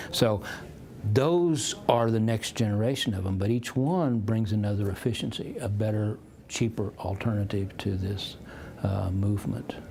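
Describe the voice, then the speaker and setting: Pitch varies in an ordinary way at a moderate pace. Audible room echo surrounds the voice. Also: man, fairly low pitch for a man. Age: 60s. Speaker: economist and futurist. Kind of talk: interview. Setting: conference.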